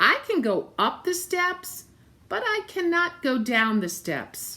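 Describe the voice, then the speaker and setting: This put-on character voice swings very widely in pitch. It moves at a fairly slow pace. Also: woman, extremely high pitch for a woman. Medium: read story.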